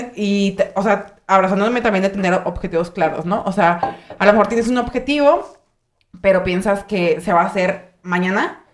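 A woman at a medium pitch talks in a normal speaking voice at a moderate pace with ordinary pitch variation. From Michoacán, Mexico. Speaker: podcast host. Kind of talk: casual chat.

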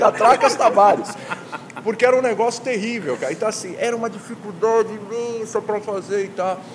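There is noticeable background noise in this clip. A man talks at a fairly quick pace. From Brazil, Santos (São Paulo state). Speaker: sports journalist and TV presenter. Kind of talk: casual chat. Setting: bar. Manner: animated.

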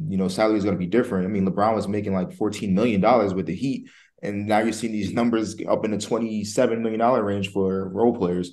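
A man with an American accent, fairly low in pitch, at a very fast pace with hardly any pauses. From New Jersey. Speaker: podcast host. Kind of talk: casual podcast interview.

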